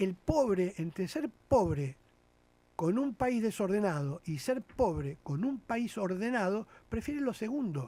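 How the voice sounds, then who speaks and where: With an Argentine accent, a man speaks very slowly in a high, dark, mellow voice that swings very widely in pitch. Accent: Rioplatense Argentine Spanish. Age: 60s. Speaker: politician. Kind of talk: radio interview. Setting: radio studio. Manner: animated.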